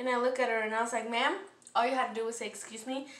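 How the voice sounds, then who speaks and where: In a room with audible echo, a woman speaks at a high pitch in an animated tone. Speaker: vlogger. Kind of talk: casual storytime vlog rant. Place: kitchen. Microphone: phone near.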